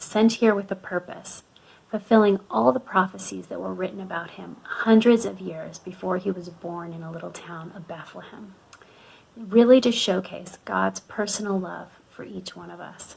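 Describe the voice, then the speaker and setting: With an American accent, a woman talks at a moderate pace in a warm tone, her loudness swinging widely over noticeable background noise. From US (Florida) and Canada, moved often. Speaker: youth ministry speaker. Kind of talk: youth talk / devotional. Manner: warm, conversational.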